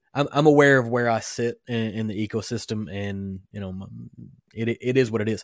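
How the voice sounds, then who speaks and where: A man talks at a moderate pace in a medium-pitched, ordinary speaking voice, with ordinary pitch variation and big swings in loudness. The recording is very clean, with a silent background. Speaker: podcast host. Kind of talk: casual chat. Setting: home studio, live streamed.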